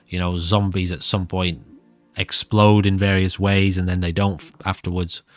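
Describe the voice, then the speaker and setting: A man's very deep, low voice, monotone and flat in intonation, at a moderate pace over music in the background. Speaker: gaming YouTuber. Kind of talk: gameplay commentary.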